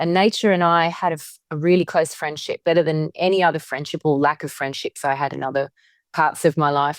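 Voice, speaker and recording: Spoken at a fairly quick pace with an Australian accent and fairly even intonation. The recording is very clean with a silent background, and the sound is dry and close with no echo. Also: woman, very deep, low pitch for a woman. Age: 50s. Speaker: witchcraft author and spiritual guide. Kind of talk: interview conversation. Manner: halting, with repetitions.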